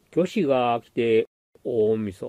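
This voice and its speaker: A man speaks very slowly at a medium pitch with ordinary pitch variation. His dark, mellow tone comes through a dry, close sound with no echo. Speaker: amateur haiku reader. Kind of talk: poetry reading.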